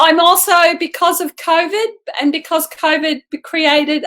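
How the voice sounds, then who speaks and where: A woman with an Australian accent speaks at a fairly slow pace, her bright, sharp tone carried on fairly even intonation. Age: 60s. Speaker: martial artist and amateur athlete. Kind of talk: interview.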